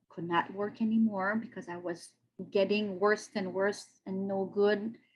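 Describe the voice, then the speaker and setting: Somewhat breathy and medium in pitch, a woman speaks with a French-Canadian accent. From Quebec, Canada. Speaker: podcast guest sharing health story. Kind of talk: interview testimony. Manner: halting, searching for English words.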